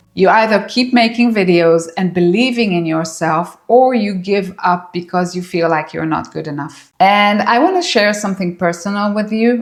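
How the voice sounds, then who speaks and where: Marked by a non-native accent, the speech runs with hardly any pauses and ordinary pitch variation. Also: woman, medium pitch for a woman, moderate pace. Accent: foreign. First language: not English. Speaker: YouTuber, former psychologist. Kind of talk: vlog monologue to camera. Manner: warm, encouraging.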